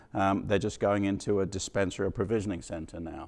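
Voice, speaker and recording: With an English accent and fairly even intonation, a man speaks in a very clean recording with a silent background. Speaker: company president giving conference keynote. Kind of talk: conference keynote talk.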